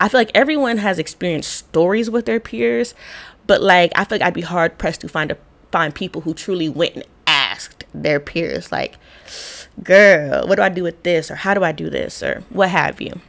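Delivered at a moderate pace, the voice has lively intonation, an animated tone and vocal fry. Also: woman, fairly low pitch for a woman. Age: 30s. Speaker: podcast host and public health practitioner. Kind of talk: solo podcast monologue. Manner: casual, animated.

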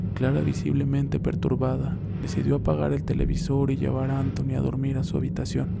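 Noticeable background noise sits behind this man. He speaks at a fairly quick pace with very even loudness. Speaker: podcast host and storyteller. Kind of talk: horror story narration.

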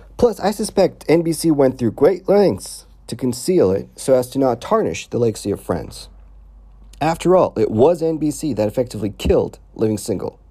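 A man's fairly high, dark, mellow voice at a moderate pace, with very wide pitch swings and vocal fry. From Palestine. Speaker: video essayist. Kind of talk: monologue commentary. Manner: animated.

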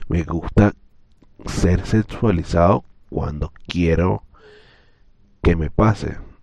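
Very slowly, a man speaks with a very deep, low pitch and ordinary pitch variation. Long pauses come often. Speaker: podcaster. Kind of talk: personal monologue. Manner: hesitant.

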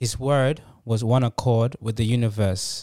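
Heard in a dry, close sound with no echo, a man with a plain, everyday voice speaks at medium pitch with fairly even intonation. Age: 20s. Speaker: author. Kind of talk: casual chat.

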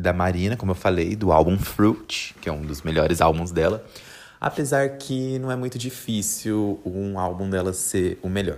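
In an ordinary speaking voice, a man talks with lively intonation at a fairly low pitch. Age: 20s. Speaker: podcaster, journalist. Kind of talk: casual monologue. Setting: bedroom at home. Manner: relaxed, laughing.

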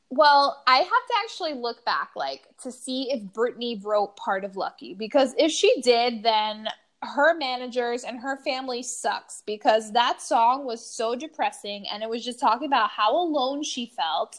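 An animated, high-pitched woman at a moderate pace, with ordinary pitch variation and hardly any pauses. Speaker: podcast host. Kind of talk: casual chat. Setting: kitchen at home. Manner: animated, excitable.

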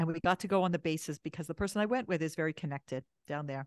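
Over a quiet background with a dry, close sound and no echo, a woman talks very fast with a Canadian accent and lively intonation. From Canada, Toronto. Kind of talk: podcast interview.

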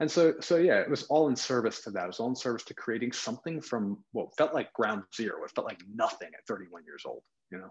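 An ordinary speaking voice from a man with an American accent, medium pitch and a fairly quick pace. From US suburbs. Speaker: wellness coach. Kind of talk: podcast interview.

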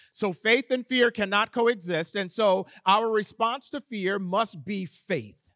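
A loud, bright, sharp man's voice, high-pitched with ordinary pitch variation, at a very slow pace in a dry, close sound with no echo. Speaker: preacher. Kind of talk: sermon. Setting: church.

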